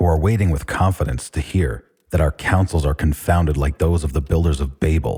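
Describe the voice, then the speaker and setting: Heard with a dry, close sound and no echo, a man uses a very deep, low pitch and a dark, mellow tone, somewhat breathy, at a moderate pace with ordinary pitch variation. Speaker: audiobook narrator. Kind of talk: speech reading.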